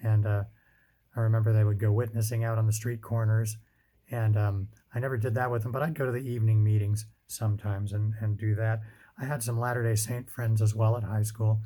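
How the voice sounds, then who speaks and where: A dark, mellow, somewhat breathy voice with an American accent moves at a fairly quick pace in a flat monotone. The recording is very clean, with a silent background. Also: man, fairly low pitch for a man. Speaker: father telling his life story. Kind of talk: personal testimony. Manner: hesitant, many fillers.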